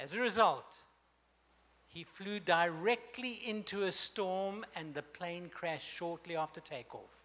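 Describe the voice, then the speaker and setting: Speaking at a fairly slow pace, a man has a bright, sharp tone and ordinary pitch variation. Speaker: speaker. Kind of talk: sermon. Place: hall. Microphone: handheld.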